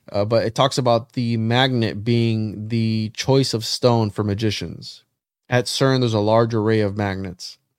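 This man speaks at a moderate pace and medium pitch in a monotone, flat delivery, with a dry, close sound and no echo. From Puerto Rico. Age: 30s. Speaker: occult researcher. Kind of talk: casual chat.

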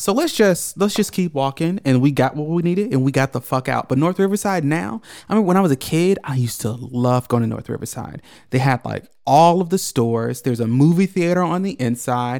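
Speaking at a fairly quick pace with lively intonation, a man with an unremarkable speaking voice sits at a fairly high pitch for a man. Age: 20s. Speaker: podcast co-host. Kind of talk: casual chat.

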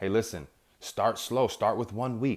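Heard in a very clean recording with a silent background, a man uses a normal speaking voice at a medium pitch and a moderate pace. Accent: American. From New York. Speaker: self-help podcast host. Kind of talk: motivational monologue.

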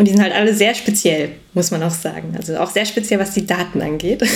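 Noticeable background noise behind a woman's medium-pitched voice, fairly quick in pace, with ordinary pitch variation. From Bielefeld region, Germany. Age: 20s. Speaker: data analyst. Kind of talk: podcast interview. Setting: video call.

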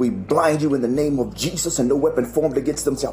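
Music plays in the background as the speaker goes at a very fast pace. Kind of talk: fervent prayer. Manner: earnest, pleading, impassioned; repetitive, flowing with 'Lord' between phrases.

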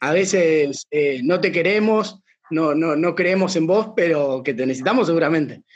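Speaking in a Rioplatense accent, a man with a high pitch keeps a moderate pace. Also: ordinary pitch variation, very even loudness. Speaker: podcast host. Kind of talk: casual chat.

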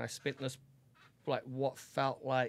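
A man speaks at a moderate pace in a New Zealand accent. The recording is very clean, with a silent background. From New Zealand, Auckland. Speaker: podcast guest, host's best friend. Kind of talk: casual chat, personal story.

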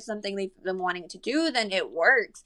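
Speaking with a Spanish accent, a woman goes at a fairly quick pace with very wide pitch swings. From Monterrey, Mexico; raised in San Antonio from age nine. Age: 20s. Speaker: model. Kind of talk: casual chat.

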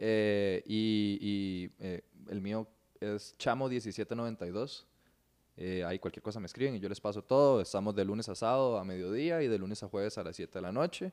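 Against a quiet background, a man with a plain, everyday voice speaks at a fairly slow pace in a fairly low pitch with ordinary pitch variation. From Venezuela, raised in Costa Rica from childhood. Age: 20s. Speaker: mixed martial arts fighter and jiu-jitsu instructor. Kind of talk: casual chat.

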